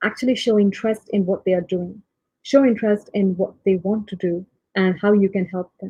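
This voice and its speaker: Somewhat breathy, a woman speaks at a medium pitch and a fairly quick pace. Her tone is dark and mellow, her intonation fairly even. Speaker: tech leader. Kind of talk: panel talk. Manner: hesitant, many fillers.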